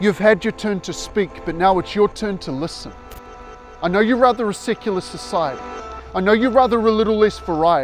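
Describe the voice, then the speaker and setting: With music playing behind him, a man talks at a fairly quick pace in a high pitch with lively intonation. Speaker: spoken word poet. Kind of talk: spoken word poetry performance.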